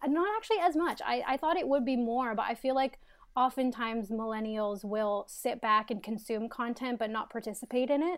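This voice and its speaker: High in pitch, a woman with a Canadian accent speaks with ordinary pitch variation. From Canada. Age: 20s. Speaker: content creator. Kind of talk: interview. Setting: video call.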